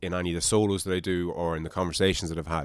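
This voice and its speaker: In an Irish accent, the speaker races along at a very fast pace with an animated tone on a very clean recording with a silent background. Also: man. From Ireland. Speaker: podcast host. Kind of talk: casual chat.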